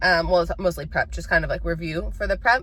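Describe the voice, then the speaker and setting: An animated woman's voice with an American accent, set against noticeable background noise. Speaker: vlogger and exotic dancer. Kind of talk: casual vlog chat.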